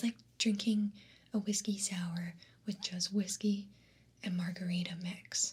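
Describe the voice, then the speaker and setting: A woman's soft-spoken whisper, somewhat breathy, at a fairly slow pace. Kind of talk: ASMR soda taste test, casual talk to camera. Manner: whispered, soft-spoken.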